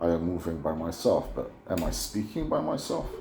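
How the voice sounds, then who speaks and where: A man with a very deep, low pitch speaks at a fairly slow pace, with audible room echo. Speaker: YouTuber. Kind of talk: casual monologue. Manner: halting, repetitive; clipped word endings.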